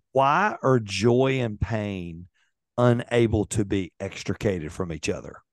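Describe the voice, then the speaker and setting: An ordinary speaking voice, a man talks at a fairly slow pace and fairly low pitch with ordinary pitch variation, recorded dry with no echo over a quiet background. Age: 50s. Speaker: podcast host. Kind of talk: interview. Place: home room. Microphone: studio mic.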